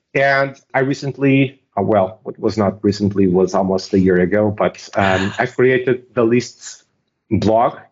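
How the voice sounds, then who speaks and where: A man with a Portuguese accent speaks at a fairly low pitch. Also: ordinary pitch variation, fairly slow pace. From Portugal. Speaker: software technical lead. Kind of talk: interview.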